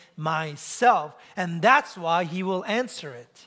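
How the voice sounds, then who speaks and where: A man's raised, projected voice with lively intonation and a bright, sharp tone. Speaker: pastor. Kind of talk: sermon. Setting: church.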